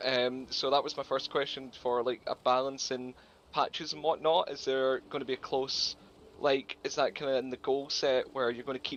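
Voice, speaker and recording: A man speaks with a Scottish accent at medium pitch. His intonation stays fairly even. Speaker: gamer asking questions. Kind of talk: live Q&A question. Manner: fast.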